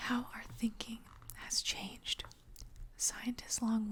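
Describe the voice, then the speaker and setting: The whispering moves at a fairly slow pace. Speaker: paleo artist. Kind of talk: ASMR magazine reading. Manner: soft-spoken.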